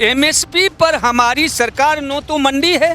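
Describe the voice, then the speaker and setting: A man speaks in a raised, projected voice at an extremely high pitch. Music plays in the background. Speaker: farmer activist. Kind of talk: street interview.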